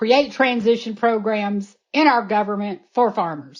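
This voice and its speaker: A woman speaks at a fairly slow pace and a fairly high pitch. It is an ordinary speaking voice against a quiet background. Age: 60s. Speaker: animal sanctuary founder. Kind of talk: interview.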